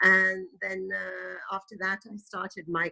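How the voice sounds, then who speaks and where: A woman with a British accent speaks at a very slow pace, in a dry, close sound with no echo. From England, moved from Italy at five. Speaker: tour guide. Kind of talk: interview. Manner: hesitant, many fillers.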